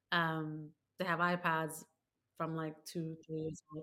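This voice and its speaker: In a London accent, the voice has a bright, sharp tone and moves at a fairly slow pace. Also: woman. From London, England. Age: 30s. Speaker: author and former teacher. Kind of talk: casual interview.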